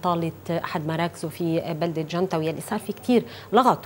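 A woman's normal speaking voice, fairly low in pitch, with ordinary pitch variation and light background noise. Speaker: TV talk show host. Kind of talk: interview introduction. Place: studio. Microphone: lapel.

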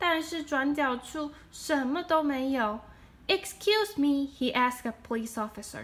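A woman's high voice in a Chinese accent, fairly slow with hardly any pauses, lively intonation and big swings in loudness. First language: Mandarin Chinese. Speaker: storyteller; storybook reader. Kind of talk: reading aloud. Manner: animated; halting. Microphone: phone near.

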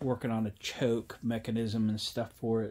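A man speaks at a moderate pace. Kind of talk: casual vlog chat. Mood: relaxed, upbeat. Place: garage.

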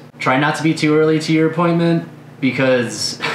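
Noticeable background noise runs under a man speaking at a moderate speed. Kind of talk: advice talk to camera. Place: studio.

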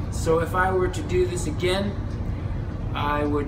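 Loud background noise behind a man's fairly slow delivery. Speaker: travel vlogger. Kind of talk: casual vlog chat. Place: boat. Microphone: phone near.

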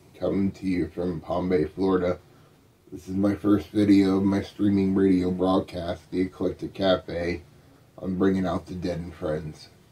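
Speaking at a fairly slow pace, a man with a very deep, low pitch delivers his words in a dark, mellow tone with monotone, flat intonation. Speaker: internet radio host. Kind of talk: show intro. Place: home room. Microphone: studio mic.

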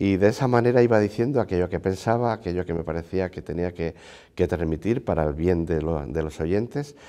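Fairly quick speech from a man with a very deep, low pitch, a dark, mellow tone and lively intonation, over a quiet background. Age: 60s. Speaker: university rector and priest; priest. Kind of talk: TV interview; interview answer. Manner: hesitant, frequent fillers. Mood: warm, reflective, smiling. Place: hall. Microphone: lapel.

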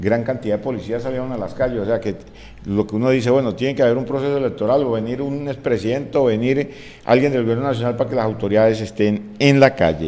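A man's dark, mellow tone with fairly even intonation at a very fast pace. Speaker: news presenter. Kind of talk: news commentary. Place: studio. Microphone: studio mic.

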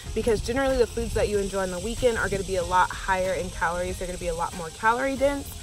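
A woman at a very fast pace with hardly any pauses, dry sound with no echo, and light background noise. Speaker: fitness vlogger. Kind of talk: casual vlog tips. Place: open country. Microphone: phone near.

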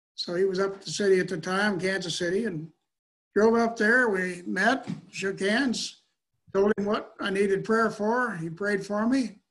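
Pitched high for a man, his voice keeps fairly even intonation at a moderate pace. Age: 70s. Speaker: retired mechanical engineer; guest. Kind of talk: testimony. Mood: earnest, reflective. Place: home room. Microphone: webcam.

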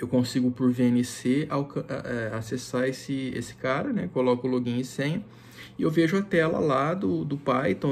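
The pitch varies in an ordinary way while the delivery moves fairly slowly. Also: man. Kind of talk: tutorial. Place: home room. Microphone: phone near.

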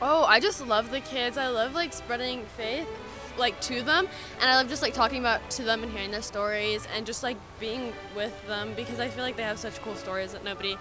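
A woman with ordinary pitch variation in a dry sound with no echo, clear music in the background. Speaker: interviewee. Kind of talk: interview answer. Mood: cheerful, slightly hesitant. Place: street. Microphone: handheld.

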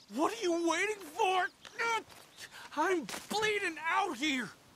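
An extremely high-pitched, put-on character voice speaks at a fairly slow pace over light background noise. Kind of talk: acted game dialogue. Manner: desperate, pleading. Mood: pained, urgent, impatient.

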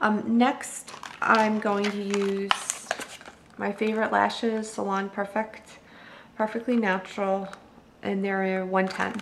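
The speech is very slow and monotone, with long, frequent pauses. Noticeable background noise can be heard. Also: woman, medium pitch for a woman. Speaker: beauty vlogger. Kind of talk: tutorial. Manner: casual with many ums.

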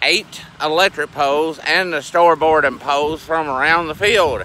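This man has a Southern US accent and a fairly high pitch, with fairly even intonation. The sound is dry with no echo, over light background noise. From US South. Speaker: farmer and video blogger. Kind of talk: casual vlog narration. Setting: outdoors. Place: open country. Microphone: phone near.

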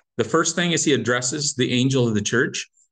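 The man's intonation stays fairly even, with only a quiet background behind him. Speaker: Bible study teacher. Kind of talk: lecture. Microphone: video call.

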